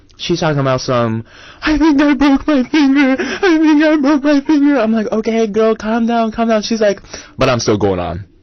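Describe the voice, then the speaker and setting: An animated tone at a moderate pace over noticeable background noise. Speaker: college radio co-host. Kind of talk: casual chat. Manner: loud.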